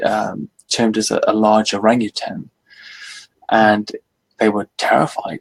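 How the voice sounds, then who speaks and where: The speaker has a British accent, and the sound is dry and close with no echo. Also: man. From Britain. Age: 40s. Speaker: author and cryptozoology enthusiast. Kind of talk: casual interview chat.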